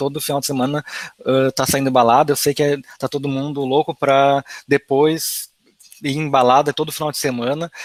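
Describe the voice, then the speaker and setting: Here is a normal speaking voice at a moderate pace. The sound is dry and close with no echo. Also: man. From Rio Grande do Sul, Brazil. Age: 20s. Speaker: advertising professional, financial education content creator. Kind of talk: online talk / webinar presentation. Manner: casual, conversational.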